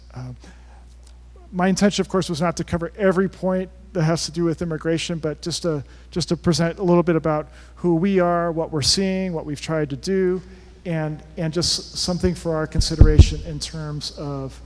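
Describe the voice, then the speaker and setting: Soft-spoken and monotone, a man with a high pitch talks flatly at a moderate pace. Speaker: Jesuit priest working with migrants at the border. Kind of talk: talk to a parish forum. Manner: halting, with many repeated words.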